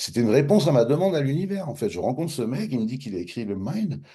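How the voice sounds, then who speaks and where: Vocal fry runs through a man's dark, mellow voice as he talks very fast. His pitch swings very widely, and the room echo is audible. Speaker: author of a self-development method. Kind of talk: interview storytelling. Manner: casual, hesitant with fillers and repetitions.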